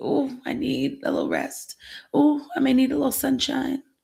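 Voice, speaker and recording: A female-sounding put-on character voice comes through high-pitched and raspy at a moderate pace. Its tone is tired. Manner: tired, wistful.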